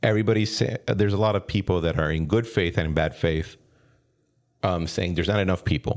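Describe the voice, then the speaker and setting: Very fast speech in a Spanish accent holds a very even loudness throughout. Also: man, very deep, low pitch for a man, ordinary pitch variation. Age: 30s. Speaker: podcast host. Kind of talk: interview.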